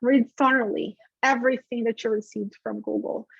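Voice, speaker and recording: Speaking with a Brazilian accent, a woman with a high pitch keeps a moderate pace in a dry, close sound with no echo. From Brazil, Rio de Janeiro. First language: Portuguese. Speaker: affiliate manager, webinar host. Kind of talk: webinar presentation. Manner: conversational, casual.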